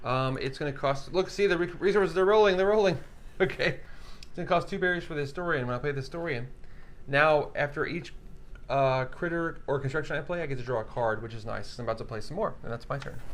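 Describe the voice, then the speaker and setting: A man's fairly high, very fast speech with lively intonation and audible room echo. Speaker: board game livestream host. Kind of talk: casual game playthrough and rules explanation. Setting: livestream studio. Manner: too quiet, soft-spoken.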